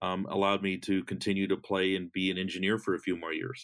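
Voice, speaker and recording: This man has a very deep, low pitch. He speaks at a fairly quick pace. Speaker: software engineer. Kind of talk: interview.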